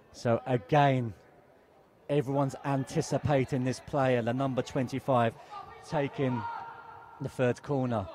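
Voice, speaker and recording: A man speaks at a fairly slow pace and a medium pitch, with long, frequent pauses. Noticeable background noise runs underneath. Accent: British. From England. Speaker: football commentator. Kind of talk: live commentary. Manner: animated.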